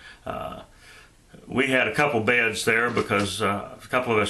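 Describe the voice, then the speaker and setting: Noticeable background noise and audible room echo surround a man speaking at a moderate pace. He has a slight Shenandoah Valley accent and fairly even intonation. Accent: slight Southern accent, Shenandoah Valley. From Shenandoah Valley, Virginia. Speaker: YouTuber, vlogger. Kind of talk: casual vlog monologue. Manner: hesitant, many filler uhs.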